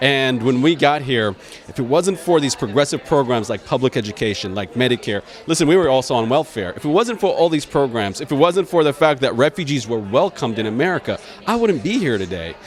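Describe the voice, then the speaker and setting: Amid noticeable background noise, a man speaks at a fairly quick pace in a fairly high voice with very wide pitch swings. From Iraq, raised in Dayton, Ohio from age ten. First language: Arabic. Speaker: political candidate and attorney. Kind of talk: interview. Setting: event venue.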